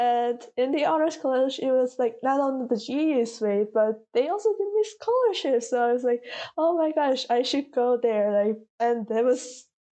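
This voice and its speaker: A woman speaks in a Korean accent at a moderate pace. Her high-pitched voice has lively intonation. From South Korea. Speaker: college student. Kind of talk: interview.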